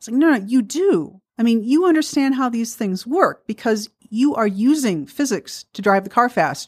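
Speaking with an American accent at a moderate pace, a woman with a fairly high pitch uses very wide pitch swings and big swings in loudness, with hardly any pauses, on a very clean recording with a silent background. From US Midwest, Milwaukee. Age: 50s. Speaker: physicist and author. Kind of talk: radio interview. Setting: radio studio.

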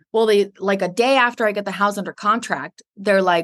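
The voice is animated, with a bright, sharp tone and ordinary pitch variation. It moves at a fairly quick pace against a quiet background. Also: woman. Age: 30s. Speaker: respiratory therapist and Air Force reservist. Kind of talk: interview.

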